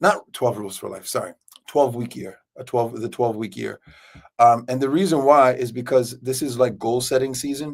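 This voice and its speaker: A man with an ordinary speaking voice talks at a moderate pace, his pitch medium and his intonation fairly even. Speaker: livestream host. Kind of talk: casual livestream chat. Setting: office, live stream.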